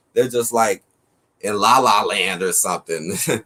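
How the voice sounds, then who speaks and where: A man with an unremarkable speaking voice, an American accent, lively intonation and a fairly quick pace. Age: 30s. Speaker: livestream talk show host. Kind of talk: casual interview chat.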